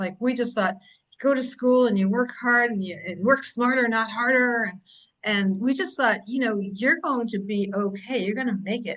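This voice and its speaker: A woman with an American accent and an unremarkable speaking voice talks at a moderate pace and a fairly high pitch, with ordinary pitch variation. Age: 60s. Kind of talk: casual chat.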